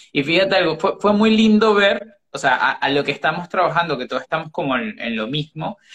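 The pace is fairly quick, with hardly any pauses. Intonation stays lively throughout. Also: man, high pitch for a man. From Caribbean. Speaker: life coach. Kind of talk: casual chat. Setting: video livestream. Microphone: phone audio, initially bad.

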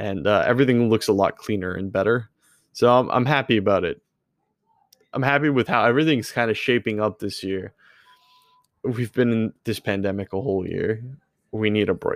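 Pausing long and often, a man speaks at a medium pitch in a dry, close recording with no echo. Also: ordinary pitch variation. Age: 20s. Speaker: gaming streamer and podcast host. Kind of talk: solo casual update monologue.

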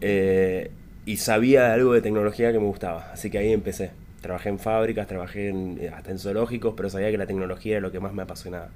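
At a very fast pace, a man speaks with a fairly low pitch and fairly even intonation. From Argentina, Luján, Buenos Aires province. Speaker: tech entrepreneur. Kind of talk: interview.

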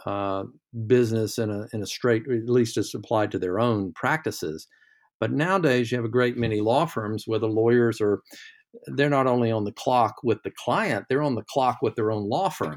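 On a very clean recording with a silent background, a man speaks at a medium pitch and moderate pace with ordinary pitch variation. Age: 60s. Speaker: lawyer. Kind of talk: casual chat. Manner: halting.

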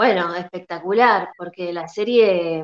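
A woman with a Rioplatense accent. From Argentina, La Plata. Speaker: actress. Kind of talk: interview.

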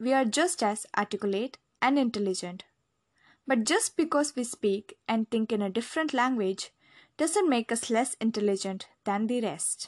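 Set against a quiet background in a dry, close sound with no echo, a woman speaks with fairly high pitch and lively intonation. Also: moderate pace. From India, Delhi. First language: Hindi. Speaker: memoir narrator. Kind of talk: scripted narration.

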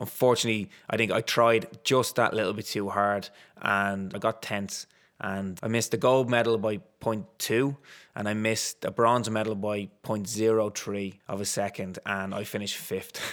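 The man talks at a moderate pace in a Dublin accent, his pitch fairly low and his intonation monotone and flat. The recording is very clean, with a silent background. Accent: Dublin Irish. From Ireland, Dublin. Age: 30s. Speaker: retired sprinter and corporate coach. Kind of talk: interview.

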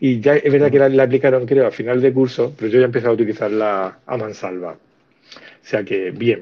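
At a fairly quick pace with hardly any pauses, an ordinary speaking voice moves through ordinary pitch variation. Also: man, medium pitch for a man, big swings in loudness. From Andalusia (Cádiz). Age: 50s. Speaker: teacher and podcast co-host. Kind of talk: casual chat. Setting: online audio room.

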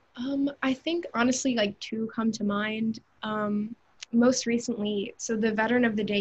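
A woman with an American accent has a fairly high pitch. Her voice is somewhat breathy. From US South, Atlanta, Georgia. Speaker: college student intern. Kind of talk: casual interview.

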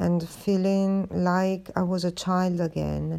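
A woman speaks at a very slow pace with a fairly low pitch. The recording is very clean, with a silent background. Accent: Italian. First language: Italian. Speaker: podcaster, artist. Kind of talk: casual monologue. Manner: hesitant, many fillers.

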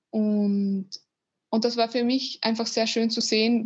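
Somewhat breathy and fairly high-pitched, a woman speaks at a moderate pace with monotone, flat intonation. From Austria. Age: 20s. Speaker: former volunteer, engineering student. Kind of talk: interview. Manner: halting, many fillers.

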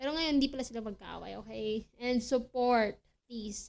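A woman speaks in an ordinary speaking voice with fairly even intonation. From Philippines. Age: 20s. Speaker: podcast host. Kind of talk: casual solo chat.

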